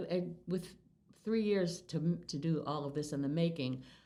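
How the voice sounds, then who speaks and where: Audible room echo surrounds a woman who speaks with an American accent. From Massachusetts, US. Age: 70s. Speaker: longtime local resident. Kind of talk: oral history interview. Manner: halting.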